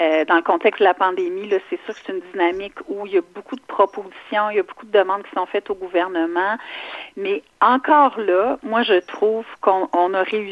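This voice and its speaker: The speech moves at a moderate pace with ordinary pitch variation. Loudness swings widely throughout. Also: woman, medium pitch for a woman. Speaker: provincial politician. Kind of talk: radio interview.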